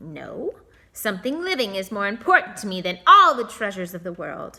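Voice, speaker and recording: Putting on a character voice, a woman talks at a fairly quick pace and a medium pitch. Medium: read story. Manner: sly, bargaining.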